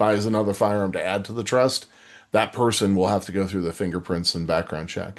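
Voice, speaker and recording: The speaker is a man with ordinary pitch variation. The background is quiet. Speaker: firearms licensing consultant. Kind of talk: live webinar Q&A. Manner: fast.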